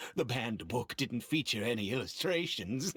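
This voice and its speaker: At a moderate pace, a put-on character voice speaks with a low-to-middle pitch. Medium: video game. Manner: formal, measured.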